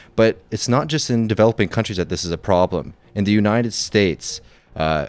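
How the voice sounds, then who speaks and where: A man's voice moves along fairly quickly, its pitch varying in an ordinary way. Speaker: podcast co-host. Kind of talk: explainer segment. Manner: casual, with fillers.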